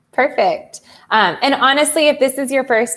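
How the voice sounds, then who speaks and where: A woman with a Southern US accent at a moderate pace. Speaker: customer success manager. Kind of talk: software demo webinar. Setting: live stream.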